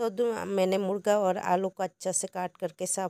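Very slowly and in a flat monotone, a woman with a medium-pitched, dark, mellow voice speaks on a very clean recording against a silent background. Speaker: cooking channel host. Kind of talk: cooking tutorial.

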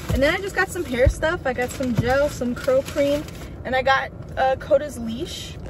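Over noticeable background noise, a woman with a high pitch talks at a moderate pace with ordinary pitch variation and a dry sound with no echo. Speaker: vlogger. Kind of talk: casual vlog chat. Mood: relaxed, chatty. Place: car. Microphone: phone near.

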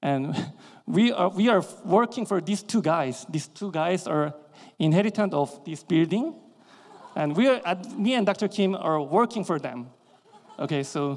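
A high-pitched man at a fairly slow pace, with long, frequent pauses. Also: lively intonation. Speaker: dentist and educator. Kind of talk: lecture. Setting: stage with audience. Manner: halting.

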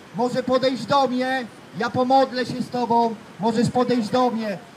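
A man talks at a fairly slow pace with an extremely high pitch. Light background noise can be heard. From Poland, Elbląg; Poland. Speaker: street evangelist. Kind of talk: street preaching testimony. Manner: emphatic. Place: street. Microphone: handheld.

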